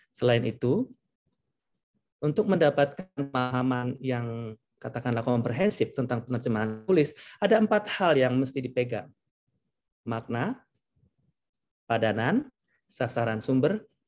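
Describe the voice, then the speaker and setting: A man talks with lively intonation, leaving long, frequent pauses. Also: medium pitch for a man, moderate pace. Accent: Javanese. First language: Javanese (speaking Indonesian). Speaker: translator. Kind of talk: lecture.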